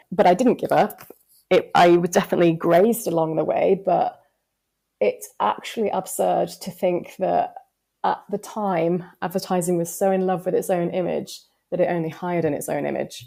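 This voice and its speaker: A woman talks at a moderate pace. She has a Yorkshire accent. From West Yorkshire, northern England. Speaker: advertising strategist. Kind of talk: podcast interview.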